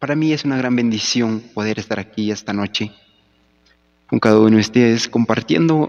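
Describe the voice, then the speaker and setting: A man of medium pitch speaks with ordinary pitch variation in a dry, close sound with no echo. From Peru, Huánuco highlands. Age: 20s. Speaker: church musician. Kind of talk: formal greeting.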